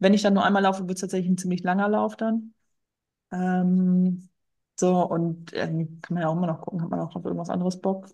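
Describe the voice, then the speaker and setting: A woman's somewhat breathy voice of medium pitch, dark and mellow in tone, at a fairly quick pace with fairly even intonation. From rural Germany. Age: 30s. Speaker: firefighter and amateur marathon runner. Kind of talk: interview.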